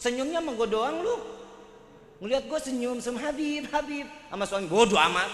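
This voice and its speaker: An animated tone and lively intonation in a Jakarta accent, with noticeable background noise and audible room echo. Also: man. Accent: Betawi. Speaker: Islamic preacher. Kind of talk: sermon.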